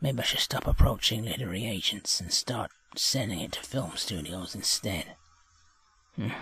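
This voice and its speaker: Putting on a character voice, a man speaks at a moderate pace in a raspy, medium-pitched voice with a weary tone. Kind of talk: theatrical monologue. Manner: weary, bitter, self-pitying.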